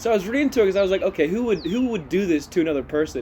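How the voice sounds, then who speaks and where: Noticeable background noise runs under the recording. The man's voice is high-pitched. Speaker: true crime news host. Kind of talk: casual talk to camera. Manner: fast.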